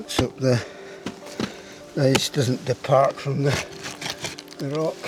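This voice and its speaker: Pitched fairly high, a man's voice shows ordinary variation as music plays behind it. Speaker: mountaineer, ice climber. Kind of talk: casual talk to camera. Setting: outdoors.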